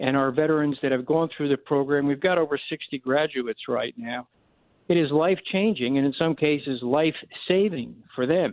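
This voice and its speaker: At a moderate pace, a man with a fairly high pitch and ordinary pitch variation speaks in a plain, everyday voice. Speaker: charity director for veteran service dogs. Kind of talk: radio interview.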